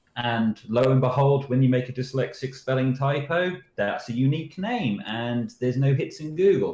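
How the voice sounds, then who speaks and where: Using a British accent, a man talks at a moderate pace with medium pitch and lively intonation. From Britain. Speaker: security researcher. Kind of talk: interview answers. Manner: casual storytelling.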